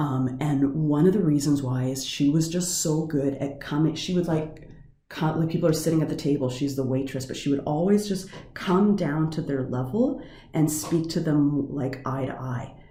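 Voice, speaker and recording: Somewhat breathy and dark, mellow in tone, a woman talks at a moderate pace in a very deep, low voice with ordinary pitch variation, with audible room echo around her. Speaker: teacher of coaching and counselling. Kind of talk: lecture. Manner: varied intonation, goes up and down.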